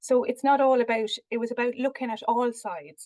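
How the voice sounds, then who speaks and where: The speaker has an Irish accent with ordinary pitch variation. The sound is dry and close with no echo. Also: woman. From Ireland. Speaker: researcher. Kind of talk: research presentation. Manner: hesitant, many fillers.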